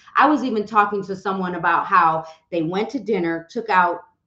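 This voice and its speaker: Against a quiet background with audible room echo, a woman with a fairly low pitch and a bright, sharp tone speaks at a fairly quick pace with ordinary pitch variation. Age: 50s. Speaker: real estate coach and social media educator; real estate coach, social media educator. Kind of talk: live stream talk. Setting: live stream on social media. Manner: fast, repetitive. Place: home room.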